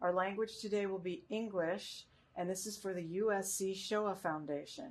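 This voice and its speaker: A woman with an ordinary speaking voice talks at a medium pitch and a moderate pace, with ordinary pitch variation. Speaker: oral history interviewer. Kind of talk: interview questions.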